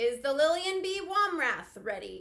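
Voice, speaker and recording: Loud and extremely high-pitched, a woman puts on a character voice with very wide pitch swings at a moderate pace. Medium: read story. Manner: loud, official.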